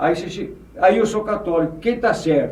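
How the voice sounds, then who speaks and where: Audible room echo surrounds a man as he talks. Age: 80s+. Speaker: former mayor and businessman. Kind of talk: podcast interview.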